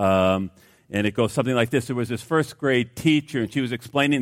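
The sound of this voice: Unforced reading-aloud voice.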